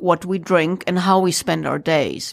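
A woman speaks with a German accent. The recording is very clean, with a silent background. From Germany. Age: 40s. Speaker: entrepreneur and former ranger. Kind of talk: interview. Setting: radio studio.

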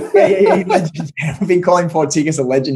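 Here a man with an Australian accent talks at a very fast pace. His intonation is lively. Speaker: podcast co-host on marketing. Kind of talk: casual chat.

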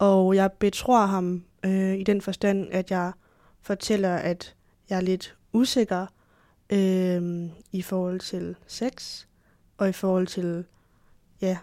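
A woman of medium pitch speaks at a very slow pace, with long, frequent pauses and monotone, flat intonation. Her tone is dark and mellow, and the recording is very clean with a silent background. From Denmark. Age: 20s. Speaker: history student, adoptee. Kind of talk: interview. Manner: hesitant, many filler sounds.

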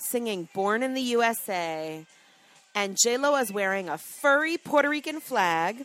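Fairly high female voice with a New York accent, very wide pitch swings, and a fairly slow pace over background music. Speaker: podcast co-host. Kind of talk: reading aloud; casual chat.

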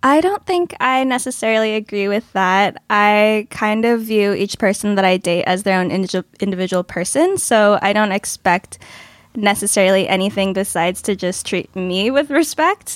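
A woman with an ordinary speaking voice and an American accent talks at a medium pitch, a moderate pace and with ordinary pitch variation. The very clean recording is dry and close with no echo, over a silent background. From Los Angeles, US. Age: 20s. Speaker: podcast panelist. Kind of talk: casual chat.

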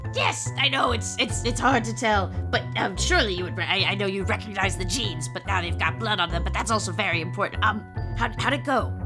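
A put-on character voice moves at a moderate pace over loud music in the background. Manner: brash, gleeful.

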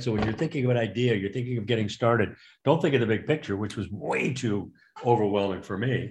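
A man speaks at a fairly quick pace with a medium pitch and a somewhat breathy voice. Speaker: board game inventor. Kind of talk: interview.

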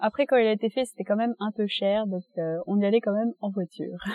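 A woman talks at a moderate pace. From France, Reims. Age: 20s. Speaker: interviewee. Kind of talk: casual interview for language learners. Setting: outdoors in a park.

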